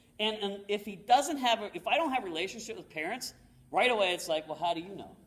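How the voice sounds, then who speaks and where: Over noticeable background noise, a man speaks very fast in a high pitch with lively intonation and big swings in loudness. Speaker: motivational speaker. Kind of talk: talk to an audience.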